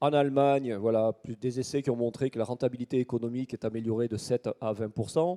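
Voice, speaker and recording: At a fairly quick pace, a man with a medium pitch talks with fairly even intonation. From southern France, Toulouse. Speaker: agronomy researcher. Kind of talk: conference talk. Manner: hesitant with frequent fillers.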